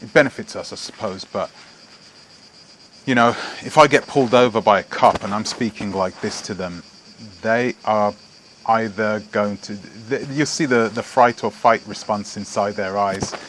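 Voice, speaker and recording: A man with a fairly low pitch talks at a moderate pace with fairly even intonation, long and frequent pauses, and big swings in loudness. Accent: British. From England (British Jamaican). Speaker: vlogger. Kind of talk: casual vlog monologue. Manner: halting, many fillers and restarts.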